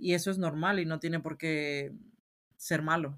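The background is silent and the recording very clean as a woman talks. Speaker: podcast co-host. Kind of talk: casual chat.

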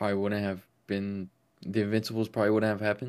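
A man with an American accent, a fairly low pitch and a very fast pace. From Las Vegas, US. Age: 20s. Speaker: football podcaster and content creator. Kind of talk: casual chat.

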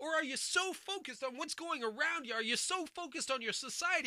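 An American-accented man speaks in a raised, projected voice. His tone is animated and his intonation lively. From United States. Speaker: bible teacher. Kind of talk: sermon.

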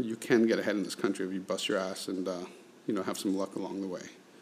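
This man talks at a very fast pace. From Latin America. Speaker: business founder and podcast host. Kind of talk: solo podcast monologue. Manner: casual with frequent fillers.

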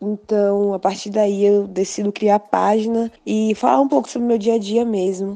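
At a moderate pace and with hardly any pauses, a woman of medium pitch talks in a dark, mellow tone with fairly even intonation. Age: 20s. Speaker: vegan content creator. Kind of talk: guest self-introduction.

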